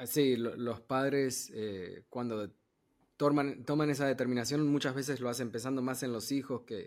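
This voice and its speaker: A man speaks in a normal speaking voice at a medium pitch, with fairly even intonation and a fairly slow pace. The recording is very clean, with a silent background. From Argentina, moved to New York at 15. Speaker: podcast host. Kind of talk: interview.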